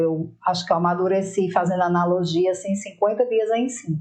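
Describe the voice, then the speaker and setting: Music plays in the background as a woman talks. Her pitch is medium and her pace moderate. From Rio Grande do Norte, northeast Brazil. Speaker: political marketing professional. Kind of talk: interview.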